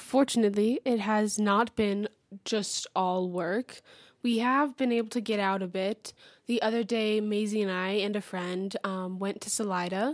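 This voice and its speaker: With an American accent and a plain, everyday voice, a woman speaks at medium pitch and a moderate pace, her intonation fairly even, on a very clean recording with a silent background. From Texas, Houston. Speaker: college theater actor. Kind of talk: radio interview.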